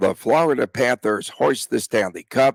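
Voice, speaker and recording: A put-on character voice from a man in a New York accent, raspy and medium-pitched, at a moderate pace with ordinary pitch variation. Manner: sports announcer call.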